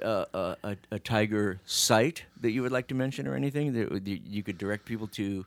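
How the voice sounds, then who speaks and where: Speaking in a General American accent with a normal speaking voice, a man keeps a moderate pace, lively intonation and hardly any pauses, in a dry, close sound with no echo. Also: fairly low pitch for a man. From US, Phoenix. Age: 50s. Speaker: podcast host. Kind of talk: casual chat. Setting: studio.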